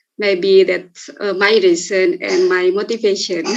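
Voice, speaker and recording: Speaking with an Indonesian accent, a woman uses a medium pitch and fairly even intonation. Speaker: teacher. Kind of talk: casual chat. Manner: halting.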